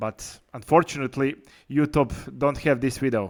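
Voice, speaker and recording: Speaking with a Croatian accent, a man uses a medium pitch, ordinary pitch variation and a moderate pace. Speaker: podcast host. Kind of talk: interview.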